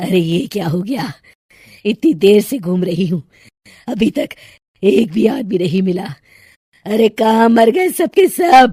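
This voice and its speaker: A put-on character voice cackles in a menacing tone at a moderate pace. Long pauses come often between phrases. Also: woman, medium pitch for a woman. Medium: cartoon. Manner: cackling, menacing.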